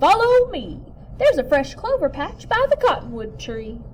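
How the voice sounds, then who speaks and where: Over clear background noise, a woman projects a raised voice in a put-on character voice. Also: moderate pace. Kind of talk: bedtime story. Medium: read story. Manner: chipper, folksy.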